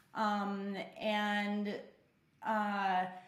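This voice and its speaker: A woman with an American accent speaks at a medium pitch. Audible room echo and noticeable background noise fill the recording. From Oregon. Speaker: person in addiction recovery. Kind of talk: testimony. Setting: apartment.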